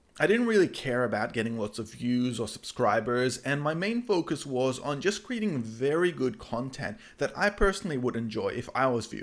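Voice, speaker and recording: A fairly quick delivery with hardly any pauses and very wide pitch swings. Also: man, medium pitch for a man. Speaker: YouTuber, web and app developer. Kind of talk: vlog-style talk to camera.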